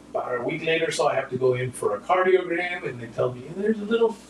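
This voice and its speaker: A man talks at a very fast pace in a high pitch. There is noticeable background noise. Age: 60s. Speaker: TV show host and worship leader. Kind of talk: casual chat.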